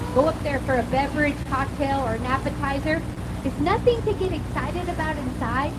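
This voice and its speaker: A woman with an American accent amid noticeable background noise and audible room echo. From California. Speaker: boat tour guide. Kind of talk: guided tour commentary. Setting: outdoors on a river boat. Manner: fast; animated.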